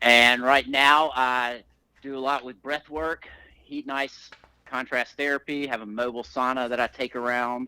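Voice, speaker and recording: A man with a Southern US accent speaks in a bright, sharp tone and flat, monotone intonation, the sound dry and close with no echo. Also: medium pitch for a man. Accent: Southern drawl. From Alabama, US South. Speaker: breathwork and fitness coach. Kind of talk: podcast interview.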